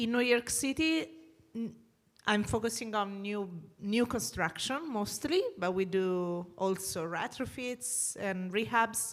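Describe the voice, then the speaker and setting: A woman with an Italian accent, medium in pitch, very slow, with lively intonation. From Italy. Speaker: energy sustainability consultant. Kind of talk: panel discussion. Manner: halting.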